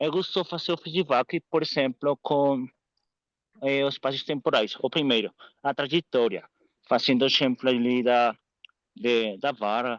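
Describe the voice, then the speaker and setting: Speaking fairly slowly with long, frequent pauses, a man with a non-native accent keeps a medium pitch, ordinary pitch variation and very even loudness in a dry, close sound with no echo. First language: Spanish (speaking Portuguese). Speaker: course participant, coach. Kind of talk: question in online course. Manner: halting.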